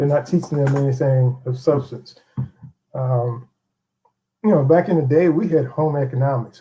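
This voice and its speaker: A somewhat breathy voice with a dark, mellow tone, moving at a moderate pace with fairly even intonation. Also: man. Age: 60s. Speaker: interview guest. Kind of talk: interview.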